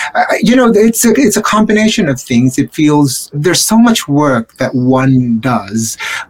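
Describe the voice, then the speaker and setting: Over noticeable background noise, a man talks at a fairly slow pace and a fairly high pitch, his pitch swinging very widely while his loudness stays very even and he hardly pauses at all. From Philippines. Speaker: theater designer. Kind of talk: interview.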